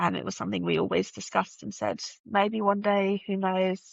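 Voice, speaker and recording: This woman has a slight British accent. She talks at a fairly quick pace. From UK. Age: 30s. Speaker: podcast guest sharing fertility journey. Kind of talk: personal testimony in interview.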